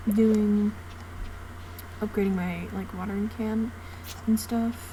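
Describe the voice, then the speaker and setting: With audible room echo and noticeable background noise, a woman speaks with long, frequent pauses. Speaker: gaming youtuber. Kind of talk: casual gameplay commentary. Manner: hesitant, many fillers. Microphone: no mic, computer mic, quiet audio.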